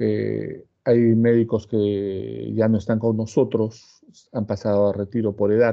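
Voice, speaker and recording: Against a quiet background, a man with a fairly low pitch talks at a very slow pace in a monotone, flat delivery. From Peru. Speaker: cardiologist and pharmacology professor; pharmacology professor. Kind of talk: lecture. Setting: online class video call. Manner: formal. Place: home room. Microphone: earbuds.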